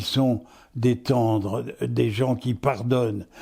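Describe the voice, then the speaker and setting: A dark, mellow tone unfolds at a very slow pace in a very clean recording with a silent background. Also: man. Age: 80s+. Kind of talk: interview answer.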